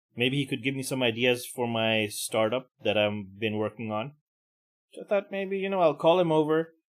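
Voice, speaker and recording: A man talks with lively intonation at a medium pitch. He has an unremarkable speaking voice. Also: moderate pace. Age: middle-aged. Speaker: podcast host. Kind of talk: casual rant.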